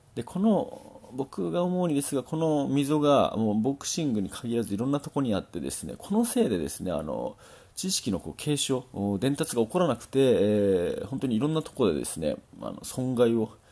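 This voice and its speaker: A man's dark, mellow tone at a fairly quick pace, with very wide pitch swings, on a very clean recording with a silent background. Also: medium pitch for a man. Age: 30s. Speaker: boxing trainer, former champion boxer. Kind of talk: solo talk monologue. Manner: hesitant, many fillers.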